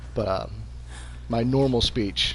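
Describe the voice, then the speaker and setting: A man talks at a fairly slow pace, with vocal fry in his voice. His pitch swings very widely. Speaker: gaming streamer. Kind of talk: let's play commentary. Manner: casual, stammering.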